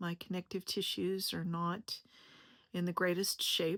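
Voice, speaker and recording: With a plain, everyday voice, a woman talks at a fairly slow pace and medium pitch in a very clean recording with a silent background and a dry, close sound with no echo. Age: 50s. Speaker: health educator and content creator. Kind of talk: personal introduction video monologue. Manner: casual, conversational.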